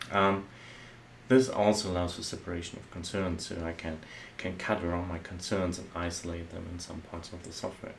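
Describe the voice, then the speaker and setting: A man with a German accent and a very deep, low pitch speaks at a fairly quick pace with fairly even intonation and big swings in loudness, amid audible room echo. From Germany. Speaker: software architect. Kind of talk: tutorial. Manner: halting.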